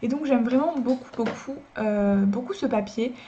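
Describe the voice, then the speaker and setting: A woman's fairly high-pitched voice. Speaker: drawing youtuber. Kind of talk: casual review talk to camera. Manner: fast; hesitant with many fillers.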